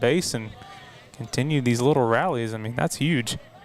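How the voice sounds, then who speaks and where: Music plays in the background as a man speaks in a strong Southern US accent. His pitch is medium with ordinary variation, and his pace is moderate. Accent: thicker southern. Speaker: play-by-play sports announcer. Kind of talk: live commentary.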